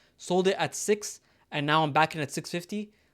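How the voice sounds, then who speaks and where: This man's voice shows ordinary pitch variation. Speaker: stock market YouTuber. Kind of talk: casual talk-to-camera commentary. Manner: fast; filler-heavy, self-correcting.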